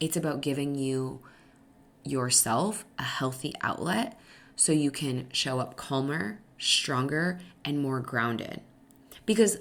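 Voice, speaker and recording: A woman speaks with a very deep, low pitch and vocal fry. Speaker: podcast host and stepmom coach. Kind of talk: solo podcast talk. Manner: fast.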